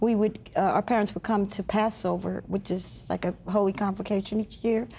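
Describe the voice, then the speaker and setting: This woman talks at a moderate pace with a medium pitch and a dark, mellow tone. Her intonation stays monotone and flat. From US Northeast. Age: 60s. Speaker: chaplain. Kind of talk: testimony.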